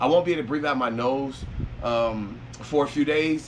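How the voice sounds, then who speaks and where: Audible room echo surrounds a man's voice. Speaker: vlogger documenting surgery recovery. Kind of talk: casual vlog. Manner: casual, rambling with fillers.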